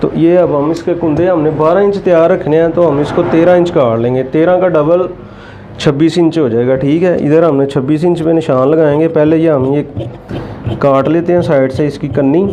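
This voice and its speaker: At a moderate pace, the voice holds very even loudness and fairly even intonation, with audible room echo and noticeable background noise. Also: man, fairly high pitch for a man. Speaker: tailoring instructor. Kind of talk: tutorial. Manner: soft-spoken.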